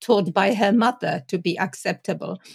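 A woman speaks with a European accent. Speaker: Montessori educator. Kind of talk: panel discussion.

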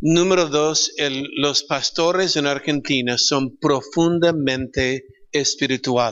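This man has an English accent and a fairly high pitch. He speaks very slowly with fairly even intonation. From California, US. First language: English (speaking Spanish). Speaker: pastor. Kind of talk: panel discussion.

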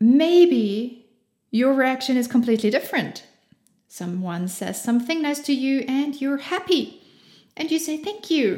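A woman with a German accent talks at a fairly slow pace and a high pitch. Her tone is dark and mellow, with lively intonation. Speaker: podcast host. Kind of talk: motivational monologue. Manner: animated.

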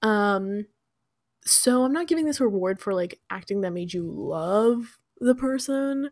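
Speaking in a normal speaking voice, a woman talks at a fairly slow pace with a fairly high pitch and lively intonation. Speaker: podcast co-host. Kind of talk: casual chat.

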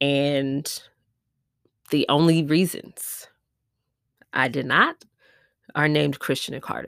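With an American accent and a very deep, low pitch, a woman speaks at a fairly slow pace with ordinary pitch variation on a very clean recording with a silent background. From US Midwest, Milwaukee, Wisconsin. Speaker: podcast host, entrepreneur. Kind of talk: personal testimony. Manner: casual, conversational.

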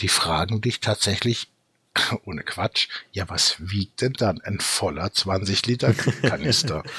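This is a man with an ordinary speaking voice. His pitch sits fairly low. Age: 50s. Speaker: company founder. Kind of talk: casual chat.

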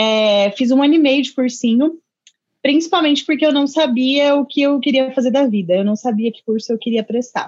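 A woman speaks at a moderate pace with a high pitch and ordinary pitch variation. Her loudness swings a lot. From Indaiatuba, São Paulo interior, Brazil. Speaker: engineering student. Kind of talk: casual interview.

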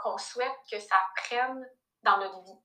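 A woman's high-pitched voice, bright and sharp in tone. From Quebec. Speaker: personal finance coach. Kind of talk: casual interview.

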